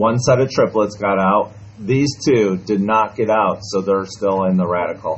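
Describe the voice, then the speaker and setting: At a moderate pace, an unremarkable speaking voice carries fairly even intonation. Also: man, fairly low pitch for a man, very even loudness. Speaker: math teacher. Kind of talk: classroom lesson. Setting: classroom with students.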